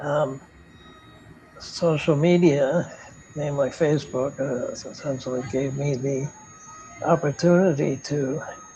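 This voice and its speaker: Speech moves at a fairly slow pace with fairly even intonation and long, frequent pauses. Music plays in the background. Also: man, fairly high pitch for a man. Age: 80s+. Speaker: retired philosophy professor. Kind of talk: interview. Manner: halting, with many repetitions.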